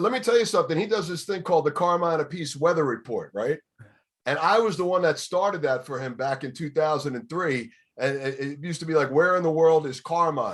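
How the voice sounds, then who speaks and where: At a fairly quick pace, a man with a New York accent speaks at a fairly high pitch with ordinary pitch variation, in a very clean recording with a silent background. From New York City, Bronx. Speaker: radio DJ. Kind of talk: casual chat.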